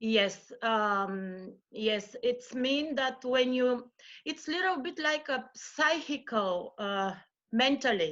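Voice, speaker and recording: A woman talks in a Bulgarian accent with a high pitch. Her intonation is lively and her pace very slow. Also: quiet background. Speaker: yoga practitioner and mother. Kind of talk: interview. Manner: halting.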